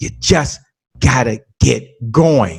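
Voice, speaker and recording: There is vocal fry in this man's voice. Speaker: podcast host and sales trainer, interview guest. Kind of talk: podcast interview. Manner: fast.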